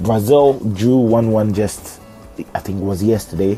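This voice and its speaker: There is noticeable background noise behind a man with a fairly low pitch. He keeps a moderate pace and fairly even intonation. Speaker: podcast host. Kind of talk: podcast monologue. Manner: casual, halting with fillers.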